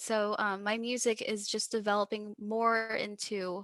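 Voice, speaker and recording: In a very clean recording with a silent background, a woman speaks with a Texas accent. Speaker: musician. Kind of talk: casual chat. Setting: podcast interview. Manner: animated.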